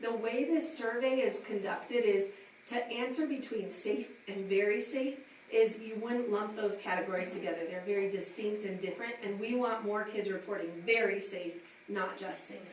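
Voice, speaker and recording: A woman talks at a fairly high pitch with ordinary pitch variation. Noticeable background noise and audible room echo surround her voice. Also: moderate pace. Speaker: school administrator presenting survey data. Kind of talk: presentation at a school advisory council meeting.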